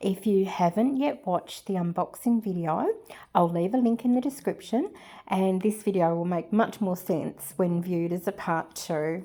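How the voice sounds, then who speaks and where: The voice has an Australian accent and a dark, mellow tone, with ordinary pitch variation at a moderate pace. The recording is very clean, with a silent background. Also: woman, medium pitch for a woman. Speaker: resin and mixed media artist. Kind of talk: craft tutorial voiceover. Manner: hesitant, many filler words.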